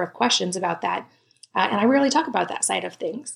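A woman talks at a very fast pace. Her voice has vocal fry. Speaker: podcast host. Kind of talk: interview with sponsor reads.

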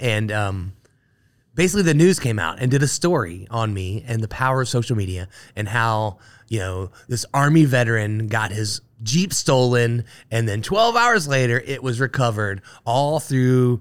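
A plain, everyday voice with an American accent moves at a moderate pace with ordinary pitch variation on a very clean recording with a silent background. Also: man. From Ohio, Dayton. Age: 40s. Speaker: brewery owner. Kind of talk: casual chat. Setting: studio.

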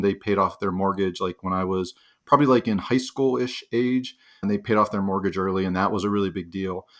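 An ordinary speaking voice with an American accent and ordinary pitch variation. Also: man. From Pittsburgh, Pennsylvania. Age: 40s. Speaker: financial independence author and planner. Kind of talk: interview conversation. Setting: remote call.

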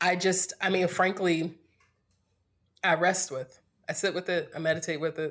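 Monotone and flat, a woman with fairly low pitch talks at a moderate pace, pausing long and often. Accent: American. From US South, North Carolina (Greensboro). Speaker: podcast guest. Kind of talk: casual chat.

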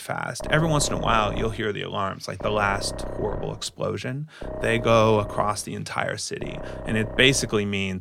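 Simply a natural reading voice

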